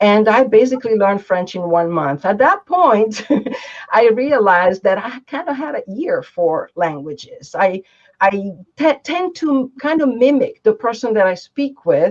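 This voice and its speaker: A woman with an Italian accent speaks at a moderate pace in a fairly high voice with very wide pitch swings. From Italy, Gaeta. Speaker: interpreter and translator. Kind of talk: interview.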